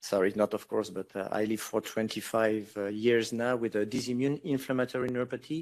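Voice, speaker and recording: A man speaks in a French accent at a moderate pace. His pitch is medium, with ordinary variation. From France. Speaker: patient advocate. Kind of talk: panel discussion. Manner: halting, many repetitions.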